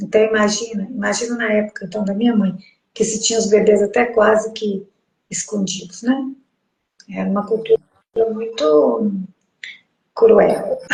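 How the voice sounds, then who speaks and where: Somewhat breathy and fairly high in pitch, a woman speaks at a moderate pace with fairly even intonation. Her pauses are long and frequent. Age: 60s. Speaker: host's mother, sharing pregnancy experience. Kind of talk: casual interview conversation.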